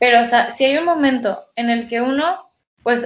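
Fairly high in pitch, a woman speaks in an ordinary speaking voice at a moderate pace with ordinary pitch variation. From Mexico (Guadalajara). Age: 20s. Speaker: psychology student. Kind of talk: casual chat.

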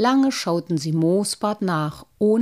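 The speaker uses a natural reading voice. Intonation rises and falls in a lively way.

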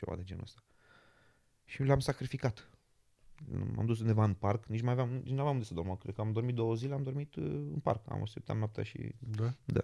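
A man speaks in a dark, mellow tone. His pace is fairly quick. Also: medium pitch for a man, ordinary pitch variation. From Romania, Giurgiu. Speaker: magician. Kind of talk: casual interview. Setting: in London.

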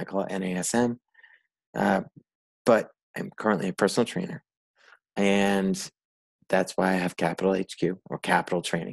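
With an American accent, a man with a very deep, low pitch talks at a moderate pace in a dry, close sound with no echo. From US Northeast, Rhode Island. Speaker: personal trainer. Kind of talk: solo podcast monologue. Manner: mumbles and slurs words.

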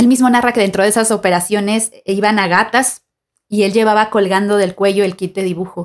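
A woman's plain, everyday voice at a medium pitch, fairly quick in pace, with ordinary pitch variation. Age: 30s. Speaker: podcast host, art student and artist. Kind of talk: scripted narration. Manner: formal.

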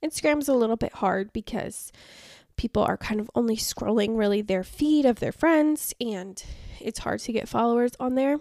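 A woman with a fairly high pitch, a dark, mellow tone and an upbeat tone, ordinary pitch variation and a moderate pace, on a very clean recording with a silent background and a dry, close sound with no echo. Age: 20s. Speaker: podcast host and travel agent. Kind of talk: casual solo tutorial. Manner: chatty, upbeat.

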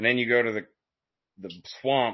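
At a moderate pace, a man talks with an Appalachian accent. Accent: Southern US, Appalachian. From Appalachian foothills, US South. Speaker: podcast host. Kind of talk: casual interview.

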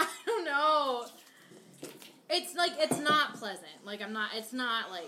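A woman's raised, projected voice with an American accent, high in pitch with very wide swings, very slow with long, frequent pauses, over noticeable background noise. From Maine, US. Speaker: hot sauce enthusiast guest. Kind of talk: casual chat.

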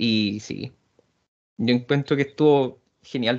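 A man speaks with a Chilean accent. His pitch varies in an ordinary way. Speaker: wrestling podcast panelist. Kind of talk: casual chat.

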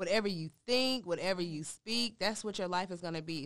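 Over a quiet background, a woman with an ordinary speaking voice and an American accent talks at a fairly quick pace, with a fairly low pitch and ordinary pitch variation. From North Carolina, Durham. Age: 20s. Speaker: author and domestic violence survivor. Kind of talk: interview testimony.

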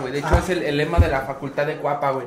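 The voice is monotone, with flat intonation. Audible room echo and noticeable background noise fill the recording. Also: man. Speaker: podcast co-host. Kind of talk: casual chat.

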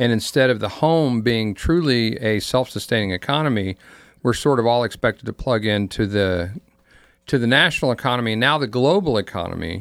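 A man with an ordinary speaking voice talks at a fairly quick pace, at medium pitch with ordinary pitch variation. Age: 60s. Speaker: pastor and panelist. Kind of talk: casual chat. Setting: studio.

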